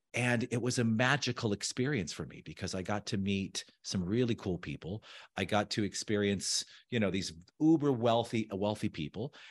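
A man with an American accent speaks in a normal speaking voice at fairly low pitch and moderate pace, with ordinary pitch variation. The sound is dry and close with no echo, against a quiet background. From US, Southern California. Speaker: architect and designer. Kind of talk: casual interview.

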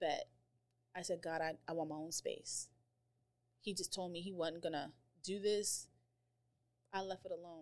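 In an American accent, the speaker talks at a moderate pace with long, frequent pauses. The intonation is monotone and flat, with vocal fry. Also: woman, fairly low pitch for a woman. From grew up mostly overseas, then Colorado. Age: 40s. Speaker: cafe owner and entrepreneur. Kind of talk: casual chat.

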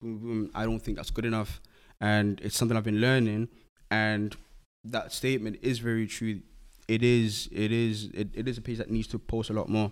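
With monotone, flat intonation, a man talks in a medium pitch at a moderate pace. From Zimbabwe. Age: 20s. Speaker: clothing brand founder and designer. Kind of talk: casual interview.

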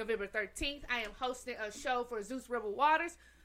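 A raised, projected female voice, high in pitch with ordinary pitch variation, on a very clean recording with a silent background. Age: 30s. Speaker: podcast co-host and performer. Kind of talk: casual chat.

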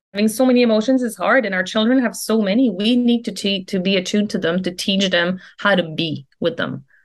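A woman with an ordinary speaking voice talks at a fairly quick pace and medium pitch, using ordinary pitch variation and hardly any pauses. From Quebec, Canada (near Quebec City). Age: 40s. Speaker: leadership and life coach. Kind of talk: casual interview chat.

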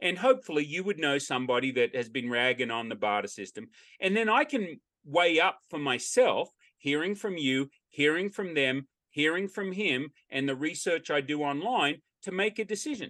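A man with an Australian accent speaks in a bright, sharp tone at a fairly high pitch, with very wide pitch swings. The sound is dry and close with no echo, over a quiet background. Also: moderate pace. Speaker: barter exchange owner. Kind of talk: interview.

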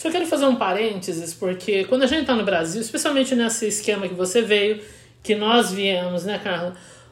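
A woman with a normal speaking voice talks at a fairly quick pace, her medium-pitched delivery full of lively intonation. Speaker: podcast host. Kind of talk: casual chat. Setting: recording with a Hudson River view, trains nearby.

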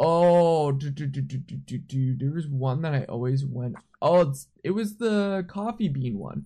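A man at a fairly high pitch with a dark, mellow tone, somewhat breathy, with lively intonation at a fairly slow pace. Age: 20s. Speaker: podcast host and concert photographer. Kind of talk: casual chat.

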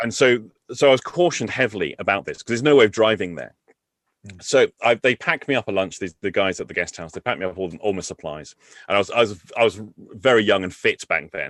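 A man with an English accent and a fairly low pitch talks at a very fast pace with lively intonation and big swings in loudness, in a dry, close sound with no echo against a quiet background. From England. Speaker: NLP trainer. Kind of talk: casual chat. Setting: call.

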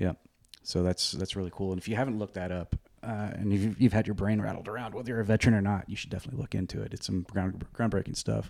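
With an American accent, the speaker goes at a very fast pace with fairly even intonation. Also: man, fairly low pitch for a man. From Oregon. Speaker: charitable giving manager and military veteran. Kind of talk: casual chat.

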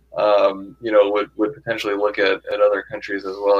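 A man talks at a very fast pace. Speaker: tech executive and angel investor. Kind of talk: interview. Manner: filler-heavy, repetitive speech.

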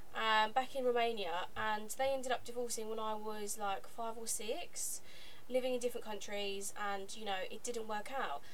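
Noticeable background noise surrounds a woman with a fairly high pitch. She keeps a moderate pace and a fairly even intonation. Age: 20s. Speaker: podcast co-host. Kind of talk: casual chat.

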